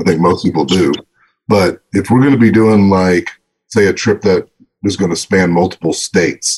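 In a Texan accent, a man talks at a moderate pace. The sound is dry and close, with no echo. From northeastern Texas. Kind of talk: casual chat. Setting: video call.

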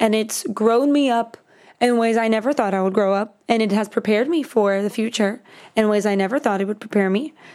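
This woman has an ordinary speaking voice, fairly high in pitch, with an American accent and ordinary pitch variation. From Miami, Florida. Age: 20s. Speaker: songwriter. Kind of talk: casual chat.

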